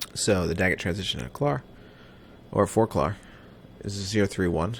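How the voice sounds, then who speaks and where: At a moderate pace, the voice comes through with an American accent. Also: man. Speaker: flight simulator streamer. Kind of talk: live gameplay commentary.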